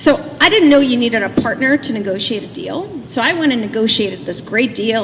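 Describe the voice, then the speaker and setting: Over noticeable background noise, a woman speaks in a fairly high voice with lively intonation. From Russia (Leningrad). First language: Russian. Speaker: motivational speaker. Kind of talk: keynote speech. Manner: animated.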